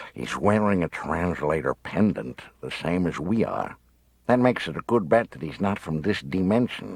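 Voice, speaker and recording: A man's put-on character voice, very deep and low in pitch, drawling at a moderate pace. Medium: read story. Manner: drawling, sarcastic.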